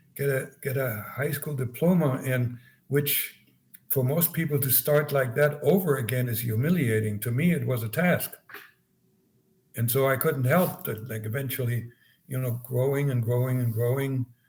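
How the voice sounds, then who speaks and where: A man with a slight German accent sounds somewhat breathy. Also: medium pitch for a man, ordinary pitch variation, moderate pace. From East Germany. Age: 70s. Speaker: former spy and author. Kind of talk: interview conversation. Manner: halting, many repetitions.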